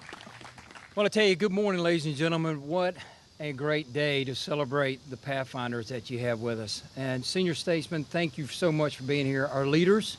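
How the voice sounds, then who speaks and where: A man with a Southern US accent speaks at a fairly high pitch amid noticeable background noise. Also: ordinary pitch variation, moderate pace. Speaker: air force general. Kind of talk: ceremonial speech.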